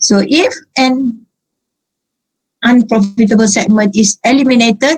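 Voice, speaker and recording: A woman talks in a somewhat breathy voice, her pitch varying in an ordinary way. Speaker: accounting lecturer. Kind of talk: lecture. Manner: halting.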